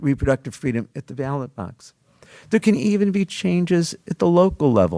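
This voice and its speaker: A man with a dark, mellow tone talks at a fairly quick pace with very wide pitch swings, the sound dry and close with no echo. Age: 70s. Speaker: law professor. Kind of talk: panel talk. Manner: formal.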